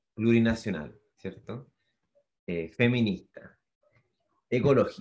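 The background is quiet. A man speaks at a very slow pace with a medium pitch. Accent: Chilean. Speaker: podcast co-host. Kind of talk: casual chat.

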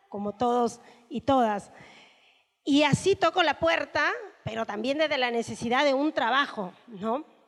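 Lively intonation from a woman with high pitch. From northern Peru (Chepén). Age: 40s. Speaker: union leader. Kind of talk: panel talk. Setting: room with audience.

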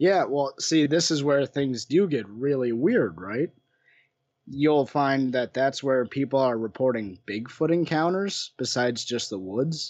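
With an American accent, a man uses an unremarkable speaking voice, fairly high in pitch, with lively intonation at a fairly slow pace. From western Wisconsin, US Upper Midwest. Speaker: paranormal researcher. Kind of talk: casual interview.

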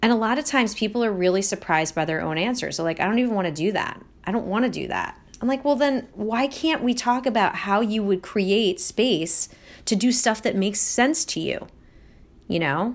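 Speaking in a Philadelphia accent, a woman with a fairly high pitch talks at a fairly quick pace with lively intonation on a very clean recording with a silent background. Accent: Philadelphia-area American English. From Delaware County, Pennsylvania. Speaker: podcast host and life coach. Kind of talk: casual solo monologue.

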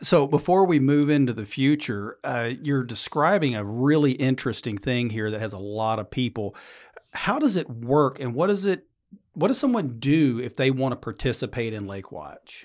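Heard in a very clean recording over a silent background, a man with an unremarkable speaking voice talks at medium pitch and a moderate pace with lively intonation. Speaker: center director. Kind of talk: casual interview. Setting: studio.

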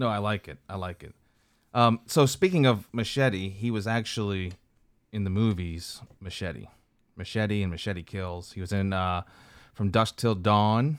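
An unremarkable speaking voice moves at a fairly slow pace with ordinary pitch variation. Its loudness swings widely. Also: man, fairly low pitch for a man. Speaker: podcast co-host. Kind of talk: casual banter. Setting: recorded on Zoom.

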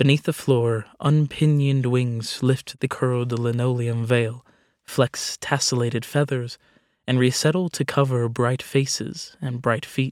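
This man has an ordinary speaking voice at a medium pitch, moving at a fairly slow pace with fairly even intonation. The recording is very clean with a silent background, dry and close with no echo. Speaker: poem reader. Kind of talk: poetry reading, spoken word.

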